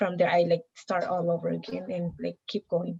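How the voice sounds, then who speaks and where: A somewhat breathy woman's voice at medium pitch and moderate pace, with a dry, close sound and no echo. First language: Mixtec. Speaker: college student. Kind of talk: casual interview conversation.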